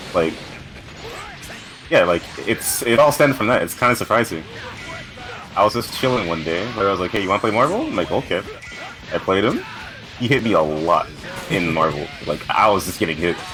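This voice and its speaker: A fairly quick pace and lively intonation broken by long, frequent pauses, with music in the background. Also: man, fairly low pitch for a man. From Canada. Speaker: fighting game player. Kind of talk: casual chat.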